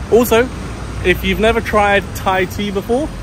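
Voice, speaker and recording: At a moderate pace, a man speaks in a dry sound with no echo, with noticeable background noise behind him. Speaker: travel vlogger. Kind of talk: casual vlog chat. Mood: pleased, upbeat. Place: street. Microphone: phone near.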